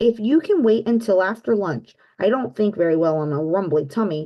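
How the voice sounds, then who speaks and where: A raspy, put-on character voice speaks at a moderate pace. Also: woman, medium pitch for a woman. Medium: read story.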